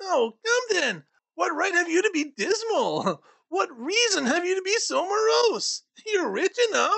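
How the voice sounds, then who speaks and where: In a put-on character voice, the speaker goes extremely high in pitch at a fairly slow pace. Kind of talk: audiobook reading with character voices. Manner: cheerful, upbeat.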